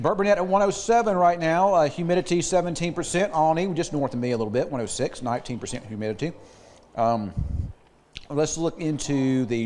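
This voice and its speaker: A man's pitch swings very widely as he speaks. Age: 60s. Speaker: TV meteorologist. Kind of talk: weather forecast.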